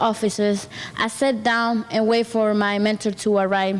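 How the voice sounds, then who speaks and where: A woman with a Spanish accent at a moderate pace, over noticeable background noise. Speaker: program participant, student. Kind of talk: testimony. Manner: halting.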